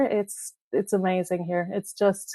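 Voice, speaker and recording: A woman with a strong Irish accent speaks at a fairly slow pace in a dark, mellow tone. The sound is dry and close, with no echo. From Ireland. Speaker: clothing brand founder. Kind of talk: casual interview.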